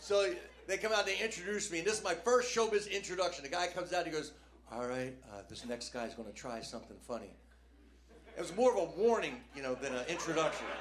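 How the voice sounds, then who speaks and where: A man speaks very fast and high for a man, with very wide pitch swings and big jumps in loudness, amid audible room echo and noticeable background noise. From New Jersey. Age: 60s. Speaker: stand-up comedian. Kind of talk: stand-up. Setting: stage with audience. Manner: animated.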